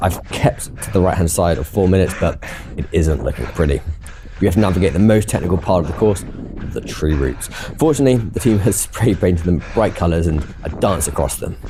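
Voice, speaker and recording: A man with a British accent, a very deep, low pitch, lively intonation and a very fast pace, over noticeable background noise. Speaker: amateur runner vlogger. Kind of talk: scripted narration.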